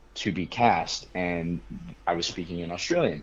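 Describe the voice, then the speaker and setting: A man's very deep, low voice with a General American accent at a fairly slow pace. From Colorado, US. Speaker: actor. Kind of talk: interview anecdote.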